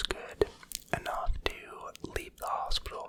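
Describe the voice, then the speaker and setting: A man whispers at a very slow pace. Noticeable background noise sits behind him. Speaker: ASMR creator. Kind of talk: whispered ramble story time, personal confessional. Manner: whispered, soft-spoken, slow.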